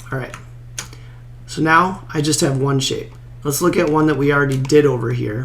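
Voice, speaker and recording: Amid noticeable background noise and audible room echo, a man with a fairly high pitch speaks with fairly even intonation and long, frequent pauses. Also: moderate pace. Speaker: golf course design tutorial creator. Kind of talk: tutorial. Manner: casual, conversational with filler words.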